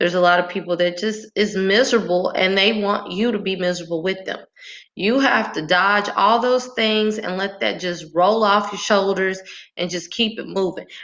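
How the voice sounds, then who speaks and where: Her tone animated, a woman speaks at a medium pitch and a moderate pace. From rural Texas, small town. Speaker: motivational speaker. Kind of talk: motivational monologue.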